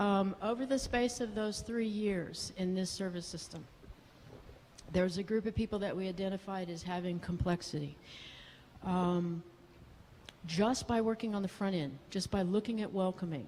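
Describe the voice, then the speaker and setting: A woman speaks in a dark, mellow, somewhat breathy tone at a moderate pace. She takes long, frequent pauses, and her pitch varies in an ordinary way. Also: medium pitch for a woman. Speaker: psychiatrist. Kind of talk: conference talk. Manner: animated.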